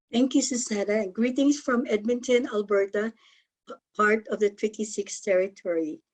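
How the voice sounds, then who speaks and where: This is a woman with a fairly high pitch. She speaks with a Filipino accent. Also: ordinary pitch variation, moderate pace. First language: Tagalog. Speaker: health co-op member and presenter. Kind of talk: conference presentation.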